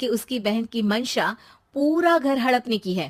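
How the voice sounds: A woman speaks at a fairly slow pace in a fairly high voice. Her pitch swings widely up and down.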